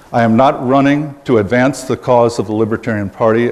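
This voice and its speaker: Speaking at a fairly quick pace, a man uses an ordinary speaking voice of medium pitch with fairly even intonation. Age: 60s. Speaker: political candidate. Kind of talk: campaign speech.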